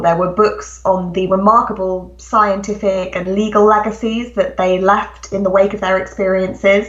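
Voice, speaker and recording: Amid noticeable background noise and audible room echo, a woman with a British accent talks at a medium pitch and a moderate pace. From England. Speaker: author. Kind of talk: interview.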